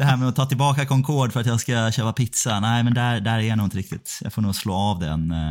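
With a strong Gothenburg accent, the speaker rushes along at a very fast pace with hardly any pauses and ordinary pitch variation. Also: man, medium pitch for a man. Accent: strong Gothenburg Swedish. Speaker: podcast co-host. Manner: casual, halting, laughs often.

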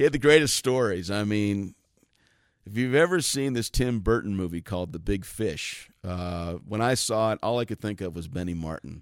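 In a very clean recording with a silent background, a man with an American accent speaks at a moderate pace with lively intonation. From US Southwest, Arizona. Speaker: bluegrass bass player. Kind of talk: casual interview. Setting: backstage at a festival.

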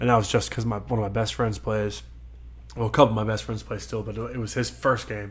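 A man's fairly low voice in an American accent, very fast and monotone, with flat intonation, vocal fry and audible room echo. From Hanover County, Virginia. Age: 20s. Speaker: former college football player. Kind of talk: casual interview.

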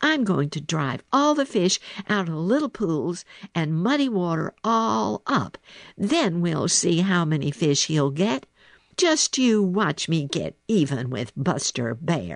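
This put-on character voice moves slowly, with big pitch swings and vocal fry.

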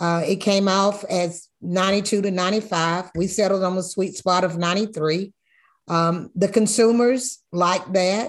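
Over a quiet background, a woman with an American accent speaks very slowly at a medium pitch, her intonation fairly even. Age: 60s. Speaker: master whiskey blender. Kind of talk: interview. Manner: halting.

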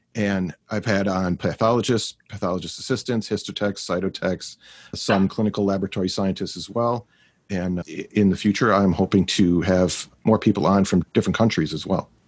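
A man talks at a moderate pace with fairly even intonation and fairly low pitch, an unremarkable speaking voice. The recording is very clean with a silent background. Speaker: pathologist assistant and podcast host. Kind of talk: casual panel chat.

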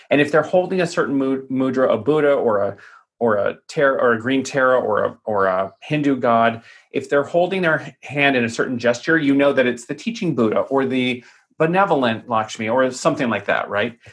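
A man speaks at a fairly quick pace in a normal speaking voice, medium in pitch with ordinary pitch variation, over a quiet background. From US Southwest (Tucson, Arizona). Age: 40s. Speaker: palm reader. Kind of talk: podcast interview.

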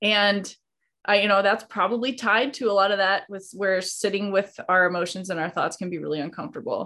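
Speaking fairly quickly with an American accent, a woman has an unremarkable speaking voice at a medium pitch with ordinary pitch variation. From Idaho, rural. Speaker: hunter and online coach. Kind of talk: casual interview.

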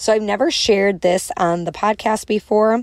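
A woman speaks with a strong Chicago accent and an animated tone. Her pitch sits in the medium range. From Chicago, US Midwest. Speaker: motivational speaker and podcast host. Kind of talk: solo podcast monologue. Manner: animated, casual, chatty.

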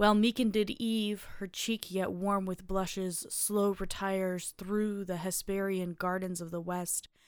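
A woman talks at a fairly slow pace in a normal speaking voice, medium in pitch with fairly even intonation. The recording is very clean, with a silent background. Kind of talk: poetry reading, reading aloud public domain verse. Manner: slow, measured, formal.

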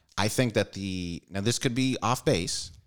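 With a plain, everyday voice, a man speaks at a fairly slow pace, his fairly low pitch rising and falling in lively intonation, in a very clean recording with a silent background. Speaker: comedian. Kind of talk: casual chat.

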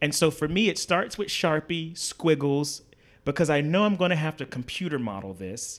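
Speaking at a moderate pace, a man with a fairly high pitch uses lively intonation. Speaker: artist and designer. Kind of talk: casual interview. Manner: animated.

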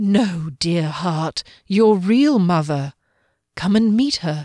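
Soft-spoken and at a very slow pace, a woman uses a put-on character voice at a medium pitch. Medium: read story. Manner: soft, soothing, persuasive.

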